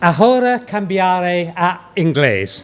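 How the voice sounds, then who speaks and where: Against crowd noise in the background, a man with an English accent speaks at a very slow pace, his high pitch showing ordinary variation. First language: English (speaking Spanish). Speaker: psychiatrist and professor. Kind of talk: lecture opening. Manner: halting, non-native Spanish with fillers.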